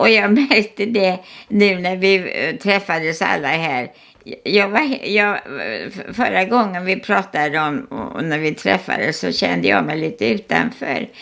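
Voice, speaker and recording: A woman's medium-pitched voice with vocal fry and lively intonation, at a fairly slow pace. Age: 80s+. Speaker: artist. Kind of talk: casual chat. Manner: halting.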